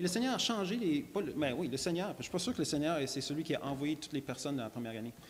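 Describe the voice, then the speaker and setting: Very fast and with hardly any pauses, a man talks in a fairly high pitch with lively intonation. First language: English (speaking French). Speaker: creationist lecturer. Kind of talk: church talk, testimony. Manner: halting, many repetitions and fillers.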